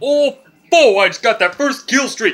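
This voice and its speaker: A high-pitched put-on character voice carries this clip. Its tempo sits at a moderate rate. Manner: cartoonish, excited.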